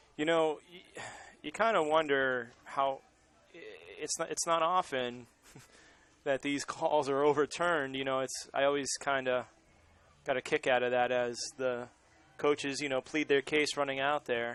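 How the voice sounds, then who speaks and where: A man with an American accent speaks at a fairly high pitch and a moderate pace, with long, frequent pauses. His intonation is fairly even, and the sound is dry and close, with no echo. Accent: Boston accent, occasionally brought out. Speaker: baseball play-by-play commentator. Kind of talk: live sports commentary.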